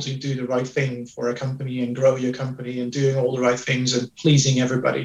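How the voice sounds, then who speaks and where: A man speaks at medium pitch and a fairly quick pace. Noticeable background noise is present. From Netherlands. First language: Dutch. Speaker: HR executive. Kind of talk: interview. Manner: hesitant with fillers.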